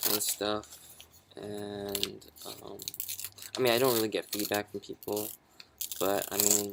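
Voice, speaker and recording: Against noticeable background noise, a man speaks in a fairly low, monotone, flat voice at a fairly slow pace, with long, frequent pauses. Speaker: vlogger. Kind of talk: personal vlog monologue. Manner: halting, many fillers and restarts.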